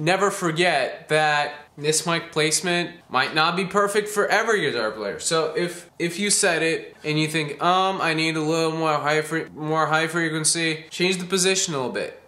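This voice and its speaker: A man speaks at a moderate pace with a high pitch and a bright, sharp tone. Audible room echo surrounds his voice. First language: not English. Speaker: home recording guitarist, tutorial maker. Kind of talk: tutorial. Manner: casual, some hesitations.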